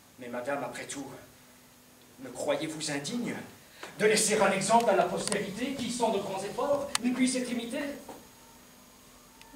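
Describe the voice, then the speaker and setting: Long, frequent pauses break up a man's fairly slow speech, with audible room echo and noticeable background noise. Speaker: stage actor playing an emperor. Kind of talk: declaimed verse drama. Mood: grave, sorrowful resolve. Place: stage. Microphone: camera far.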